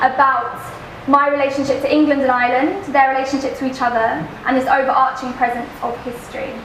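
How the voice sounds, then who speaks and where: Fairly quick delivery, fairly even intonation, and noticeable background noise. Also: woman. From East London. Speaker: poet. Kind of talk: talk to a live audience. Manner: casual, rambling.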